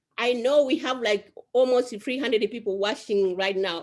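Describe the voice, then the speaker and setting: A woman's fairly high voice in an African accent, with lively intonation. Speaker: survivor advocate. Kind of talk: panel discussion.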